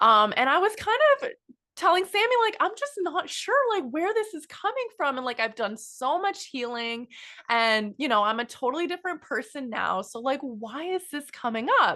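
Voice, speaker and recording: A woman raises and projects her voice, which is high in pitch and bright, sharp in tone. Her pitch swings very widely. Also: moderate pace. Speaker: podcast co-host. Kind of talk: casual chat. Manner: animated.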